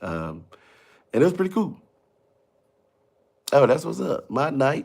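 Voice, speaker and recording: On a very clean recording with a silent background, a man speaks quietly. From Mississippi. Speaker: comedian and TV personality. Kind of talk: casual livestream chat. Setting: home livestream at night. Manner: quiet, talking low.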